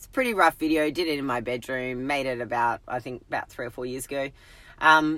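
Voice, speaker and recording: A woman's very deep, low voice with an Australian accent, bright and sharp, animated in tone, fairly quick, with big swings in loudness and ordinary pitch variation. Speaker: health and fitness coach. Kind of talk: live stream talk. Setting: in a car.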